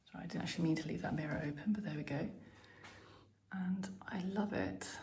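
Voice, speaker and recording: Whispering at a very fast pace, a woman is heard with audible room echo and noticeable background noise. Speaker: lifestyle vlogger. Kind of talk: house tour vlog. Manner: casual, chatty.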